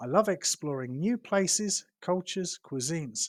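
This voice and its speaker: A man in a British accent with lively intonation, moderate pace, and a dry, close sound with no echo on a very clean recording with a silent background. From London, England. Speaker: English teacher. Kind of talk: teacher self-introduction to camera.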